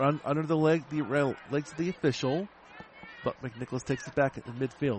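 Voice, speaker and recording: Over noticeable background noise, a man speaks in an energetic tone with a fairly high pitch. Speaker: radio sports broadcaster. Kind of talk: live sports commentary. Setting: stadium, radio broadcast. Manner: fast, rapid-fire play-by-play; clipped, energetic.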